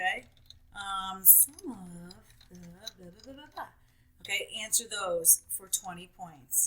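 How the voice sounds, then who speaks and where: Against noticeable background noise, a woman talks fairly slowly at medium pitch with ordinary pitch variation. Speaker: teacher. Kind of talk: tutorial.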